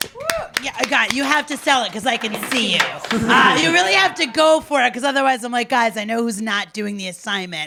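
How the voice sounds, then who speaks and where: Loud and high-pitched, a woman talks at a fairly quick pace with lively intonation over noticeable background noise. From Italian-American. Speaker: online show host. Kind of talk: casual chat. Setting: live online show with microphone. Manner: animated.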